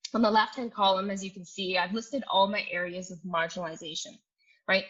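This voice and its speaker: Her medium-pitched voice has a bright, sharp tone, and this woman uses ordinary pitch variation. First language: not English. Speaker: psychologist. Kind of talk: talk. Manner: hesitant, many fillers.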